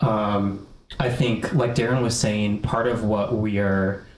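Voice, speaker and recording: With an American accent and a fairly low pitch, a man speaks at a fairly slow pace with fairly even intonation, amid noticeable background noise and audible room echo. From US Midwest, north suburbs of Chicago. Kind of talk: casual chat.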